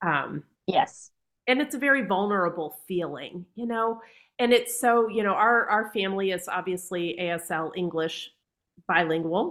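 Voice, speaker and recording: In an unremarkable speaking voice, a woman talks at a fairly slow pace with a medium pitch and lively intonation. The recording is very clean, with a silent background. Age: 40s. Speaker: teacher of the deaf. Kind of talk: interview.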